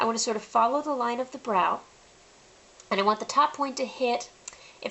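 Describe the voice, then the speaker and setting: Background noise is noticeable. A woman speaks at a fairly quick pace. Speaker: face painting artist and tutorial host. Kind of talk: tutorial. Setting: home, late at night. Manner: soft-spoken, quiet.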